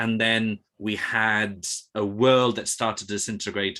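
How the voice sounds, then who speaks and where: With a British accent, a man speaks at a fairly low pitch in a bright, sharp tone. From Spain. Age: 30s. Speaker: classics researcher. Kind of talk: panel discussion. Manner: halting, many repetitions.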